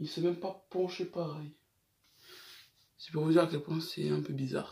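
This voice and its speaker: His voice is high-pitched for a man, with a dark, mellow tone, big swings in loudness, and monotone, flat intonation. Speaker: gaming YouTuber. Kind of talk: casual vlog storytelling. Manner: trying to speak slower than usual.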